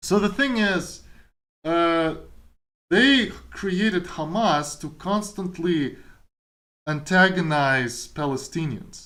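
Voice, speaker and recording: With a Kazakh accent, a man talks at a very slow pace with long, frequent pauses, using a high pitch, lively intonation and a bright, sharp tone, amid audible room echo. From Kazakhstan. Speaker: streamer and programmer. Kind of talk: casual chat. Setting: live stream.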